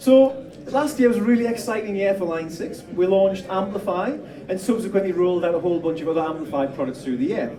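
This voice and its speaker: A man talks very fast with a high pitch, lively intonation and a northern English accent. Noticeable background noise and audible room echo are present. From northern England. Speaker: product demonstrator. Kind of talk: product demo.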